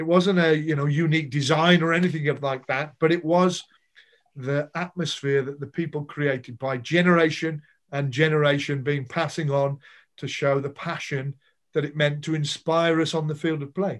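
At a moderate pace, a man talks in a flat monotone against a quiet background. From Birmingham, England. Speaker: former rugby player, marketing director. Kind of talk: podcast interview answer. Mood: nostalgic, proud. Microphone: video call.

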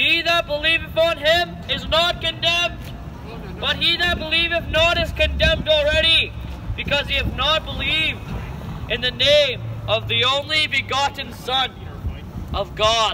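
Against noticeable background noise, a man speaks at a moderate pace with long, frequent pauses. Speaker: street preacher. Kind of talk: sermon. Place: street. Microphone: camera far.

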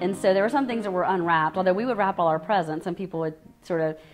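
A woman with a Louisiana accent. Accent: Southern US, Louisiana. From US South, Lafayette, Louisiana. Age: 40s. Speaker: oral history interviewee; interviewee. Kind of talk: oral history interview. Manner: hesitant, many fillers. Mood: warm, reflective. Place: home room.

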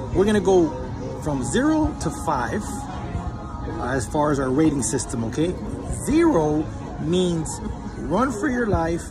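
A man at a fairly slow pace, long and frequent pauses, clear music in the background. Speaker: food vlogger. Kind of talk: casual vlog chat, restaurant review. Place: cafe. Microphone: phone near.

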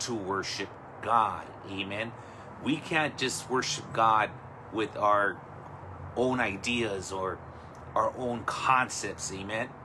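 Noticeable background noise accompanies a man who speaks very slowly with ordinary pitch variation and long, frequent pauses. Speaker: pastor. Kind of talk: sermon. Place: home room. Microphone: phone near.

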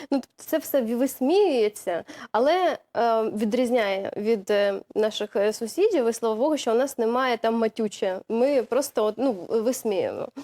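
A woman's fairly high, dark, mellow voice at a fairly slow pace, very even in loudness, dry and close with no echo, on a very clean recording with a silent background. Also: ordinary pitch variation. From Zaporizhzhia, southern Ukraine. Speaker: TV presenter. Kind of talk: studio interview. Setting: TV studio.

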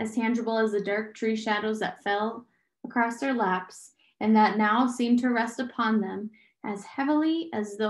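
The intonation stays fairly even in this plain reading aloud, with a quiet background behind it.

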